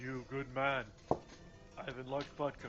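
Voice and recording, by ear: Putting on a character voice with a strong Russian accent, a man speaks in a flat monotone at medium pitch and a moderate pace, with clear background noise behind him. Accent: heavy Russian.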